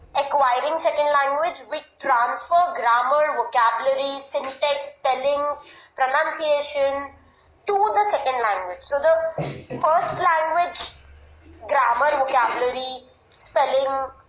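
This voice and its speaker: In a room with audible echo, a woman with a high pitch talks at a fairly slow pace, her pitch varying ordinarily and her speech broken by long, frequent pauses. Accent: Indian. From India. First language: Hindi. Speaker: English language teacher. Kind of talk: lecture. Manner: formal.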